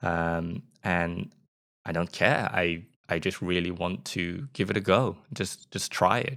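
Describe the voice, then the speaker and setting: Here a man speaks with a slight British accent and a very deep, low pitch. The recording is very clean, its background silent. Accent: mild British. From England. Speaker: podcast host and UX designer. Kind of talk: solo podcast intro, monologue. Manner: slow, careful, stumbling.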